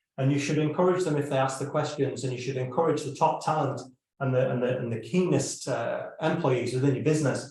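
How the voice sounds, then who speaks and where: A man talks fairly quickly at a fairly high pitch. His intonation is fairly even, and there is audible room echo. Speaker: business consultant. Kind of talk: live stream presentation. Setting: live stream video call.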